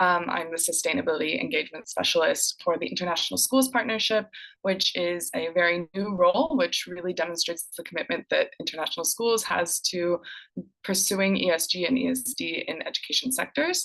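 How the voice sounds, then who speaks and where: In an American accent, a woman talks at a fairly quick pace and medium pitch with lively intonation. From United States. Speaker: education sustainability specialist, presenter. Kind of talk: conference presentation. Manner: animated.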